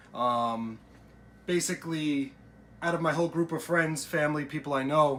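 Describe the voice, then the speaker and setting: A man talks with an American accent. His pitch variation is ordinary. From Long Island, New York. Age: 20s. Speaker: cooking and diet vlogger. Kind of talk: casual vlog and cooking tutorial. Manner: casual, frequent fillers (uh, um).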